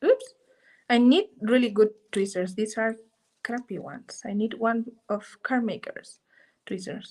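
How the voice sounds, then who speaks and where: Somewhat breathy and fairly high in pitch, a woman speaks fairly slowly with fairly even intonation, big swings in loudness, and long, frequent pauses. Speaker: art journaling teacher. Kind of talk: live craft tutorial. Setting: live stream.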